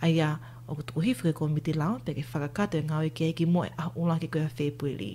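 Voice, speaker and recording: A woman with a very deep, low pitch and a dark, mellow tone talks at a very fast pace, with vocal fry and ordinary pitch variation. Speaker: news anchor. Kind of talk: news reading.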